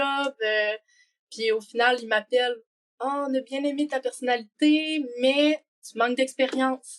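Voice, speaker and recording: In a Quebec accent, a woman speaks at a fairly high pitch with ordinary pitch variation. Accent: Québécois. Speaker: working holiday traveler. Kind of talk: podcast interview. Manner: casual, many fillers.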